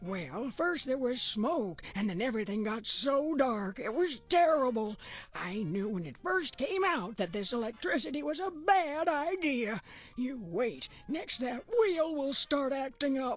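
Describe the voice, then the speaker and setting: In a put-on character voice, the speaker moves slowly-ish, at a fairly slow pace, with very wide pitch swings. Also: woman, high pitch for a woman. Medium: video game. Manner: rambling, fretful.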